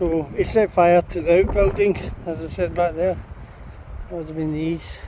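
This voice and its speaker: A man with a Scottish accent speaks at a moderate pace in a monotone, flat intonation. His pitch is high, and noticeable background noise sits behind him. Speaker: paranormal investigator vlogger. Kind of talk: casual vlog walkthrough. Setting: outdoors at castle ruins.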